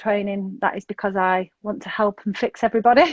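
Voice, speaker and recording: A woman speaks at a very fast pace with a Manchester accent. Her pitch is fairly high and her intonation fairly even. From northern England, north Manchester. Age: 40s. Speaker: sobriety coach. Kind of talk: interview.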